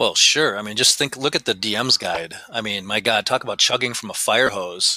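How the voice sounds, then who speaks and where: Over noticeable background noise, a man talks at a moderate pace and medium pitch with ordinary pitch variation, the sound dry and close with no echo. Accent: American. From rural Wisconsin, US Midwest. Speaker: game designer and convention organizer. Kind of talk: casual interview chat.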